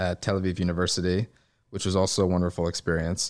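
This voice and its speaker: The man's very deep, low voice comes through on a very clean recording with a silent background. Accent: New York. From New York City, Upper East Side. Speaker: investor. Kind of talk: interview. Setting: office.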